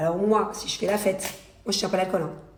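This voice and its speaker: In a room with audible echo, a woman speaks at a fairly quick pace with fairly even intonation. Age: 30s. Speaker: reality TV personality and influencer. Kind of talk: casual social media stories vlog. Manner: fast; halting.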